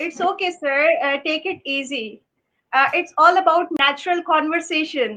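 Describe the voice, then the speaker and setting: Projecting a raised voice at a moderate pace, a woman speaks with an extremely high pitch, a bright, sharp tone and ordinary pitch variation. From Pakistan (Karachi). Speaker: English instructor and show host. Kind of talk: live stream interview. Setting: live stream video call. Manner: formal.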